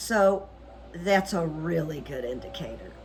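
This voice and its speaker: Music plays behind a woman speaking in a fairly low voice. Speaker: psychic coach and channel host. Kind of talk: solo video commentary with rune reading. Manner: loud.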